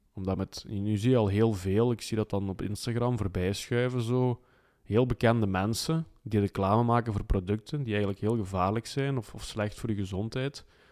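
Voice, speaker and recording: This is a man with a normal speaking voice and a fairly low pitch. He talks at a moderate pace with fairly even intonation. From Belgium (Flanders). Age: 30s. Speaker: life mentor. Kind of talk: interview.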